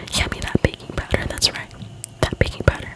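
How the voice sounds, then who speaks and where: Whispered words from a woman at a moderate pace, noticeable background noise around her. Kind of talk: casual chatty talk to camera between reading. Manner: whispered, soft-spoken.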